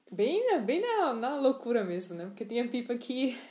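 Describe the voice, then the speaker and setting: Some room echo surrounds a woman who speaks at a fairly high pitch with lively intonation. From Northeast Brazil, João Pessoa. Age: 20s. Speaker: podcaster. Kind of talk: casual monologue. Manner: hesitant, many fillers.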